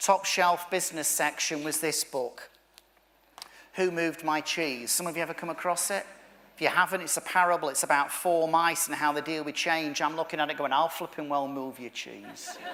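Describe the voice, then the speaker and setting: A man with a Manchester accent speaks at a moderate pace, his fairly high pitch held in fairly even intonation. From northern England, Manchester. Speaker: motivational speaker. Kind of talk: keynote speech.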